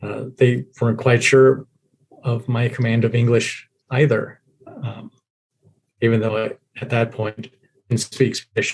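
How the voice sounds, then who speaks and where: A man with an American accent, medium-pitched and somewhat breathy, flat and monotone, at a fairly slow pace with long, frequent pauses. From US military child raised overseas (Germany, Italy, Japan). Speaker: guest sharing life story. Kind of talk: podcast interview.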